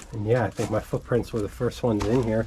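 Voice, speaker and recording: The man's medium-pitched voice comes with noticeable background noise. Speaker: hiking vlogger. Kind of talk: walking vlog narration. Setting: outdoors on a snowy trail. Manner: chatty, talkative.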